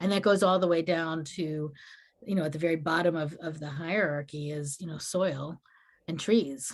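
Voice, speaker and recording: Speaking at a moderate pace, a woman uses a normal speaking voice pitched fairly low. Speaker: minister. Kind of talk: Q&A talk.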